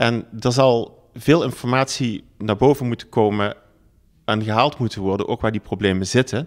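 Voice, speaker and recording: A man with a plain, everyday voice speaks at a moderate pace and medium pitch, with ordinary pitch variation, in a very clean recording with a silent background. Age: 50s. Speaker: local politician and business owner. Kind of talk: political campaign pitch.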